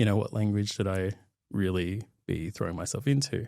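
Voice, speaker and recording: Dark and mellow in tone, the voice carries an Australian accent at a fairly quick pace with ordinary pitch variation. The recording is very clean with a silent background, and the sound is dry and close with no echo. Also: man. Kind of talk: interview. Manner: halting.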